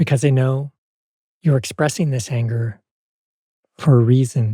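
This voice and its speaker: A man speaks at a moderate pace with ordinary pitch variation. His tone is dark, mellow and gentle, and somewhat breathy. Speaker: parts work teacher. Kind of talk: guided practice demonstration; tutorial.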